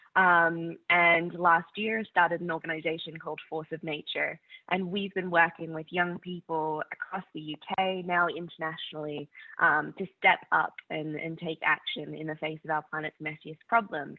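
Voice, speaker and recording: Speaking at a moderate pace in a monotone, flat intonation, a woman with an Australian accent has a fairly low pitch and big swings in loudness. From Australia, North Queensland. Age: 20s. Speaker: climate activist. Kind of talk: conference talk.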